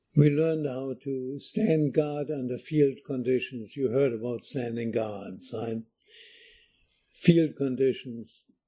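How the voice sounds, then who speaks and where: Very slow speech in a German accent, dark and mellow in tone, with ordinary pitch variation. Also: man, medium pitch for a man. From Germany. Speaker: war veteran. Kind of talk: oral history interview. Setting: library.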